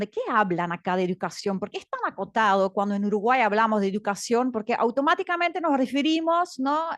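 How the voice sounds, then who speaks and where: At a fairly quick pace, a woman with a fairly high pitch speaks in very wide pitch swings. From Belgium. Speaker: education director, panelist. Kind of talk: panel talk. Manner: hesitant, many fillers.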